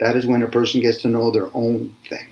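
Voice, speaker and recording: A man with a plain, everyday voice speaks at a medium pitch and a moderate pace. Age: 60s. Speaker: spiritual discussion host. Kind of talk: casual chat.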